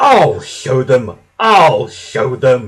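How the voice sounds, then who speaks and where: This is a put-on character voice at a low-to-middle pitch. It growls and hisses. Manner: cross, hissing, angry.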